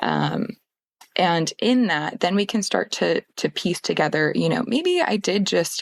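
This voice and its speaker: The sound is dry and close, with no echo. A woman talks in a Pacific Northwest accent. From Portland, Oregon. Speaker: therapist. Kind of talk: podcast interview answer. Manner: hesitant, gentle.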